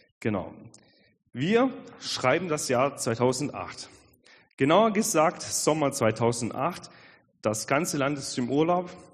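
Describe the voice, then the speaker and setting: With audible room echo, a man speaks very slowly at a fairly high pitch, with lively intonation and long, frequent pauses. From Swabia, Germany (Albstadt). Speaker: pastor. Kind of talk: sermon. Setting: church service.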